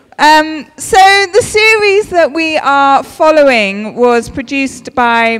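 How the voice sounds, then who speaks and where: Very slow speech against a quiet background. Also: woman. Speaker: speaker. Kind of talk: sermon. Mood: warm, lightly humorous. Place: church. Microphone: handheld.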